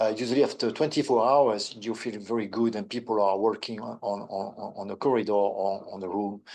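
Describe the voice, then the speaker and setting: With a French accent, a man speaks at a fairly quick pace and with fairly even intonation. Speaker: neurosurgeon. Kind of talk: webinar panel answer. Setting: online webinar. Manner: halting.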